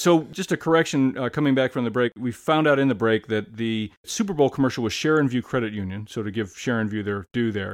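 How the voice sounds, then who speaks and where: A man speaks in an American accent with an unremarkable speaking voice, medium pitch and ordinary pitch variation. He talks at a fairly quick pace with hardly any pauses, in a dry, close sound with no echo. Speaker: podcast host and author. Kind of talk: interview.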